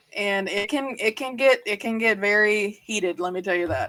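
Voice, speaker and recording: With a Southern accent, a woman speaks at medium pitch. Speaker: podcast co-host, gaming reporter. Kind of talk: casual panel podcast chat. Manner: halting.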